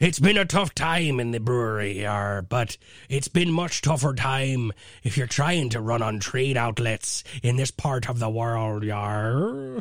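A man's put-on character voice at a medium pitch and fairly slow pace, in a very clean recording with a silent background. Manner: playful, exaggerated.

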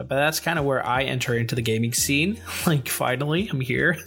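Music plays in the background as a man with a medium pitch speaks at a fairly quick pace with lively intonation. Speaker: podcast co-host. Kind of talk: casual chat.

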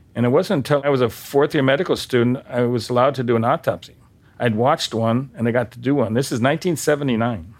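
A man talks at a very fast pace with ordinary pitch variation. His loudness stays very even throughout. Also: medium pitch for a man. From North Dakota. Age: 70s. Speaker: medical examiner. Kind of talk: casual interview.

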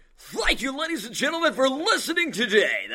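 In a put-on character voice, a man speaks at an extremely high pitch and a fairly quick pace. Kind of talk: formal, broadcast.

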